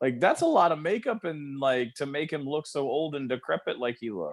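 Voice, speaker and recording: A man with a normal speaking voice talks at a fairly high pitch with ordinary pitch variation. The sound is dry and close, with no echo. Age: 40s. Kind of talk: casual chat.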